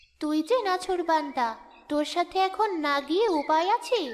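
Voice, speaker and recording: A female-sounding cartoonish character voice at extremely high pitch for a woman and a moderate pace. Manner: gentle, kindly.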